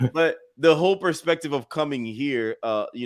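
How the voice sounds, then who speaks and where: Recorded very cleanly against a silent background, a man speaks with ordinary pitch variation. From Haiti. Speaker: podcast co-host. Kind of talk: podcast interview.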